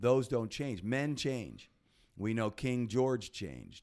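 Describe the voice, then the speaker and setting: A man talks with an American accent in a dark, mellow tone. The recording is very clean, with a silent background. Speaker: podcast host. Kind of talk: casual podcast conversation.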